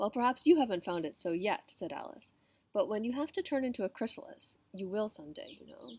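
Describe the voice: Someone does plain reading aloud. Their intonation stays lively.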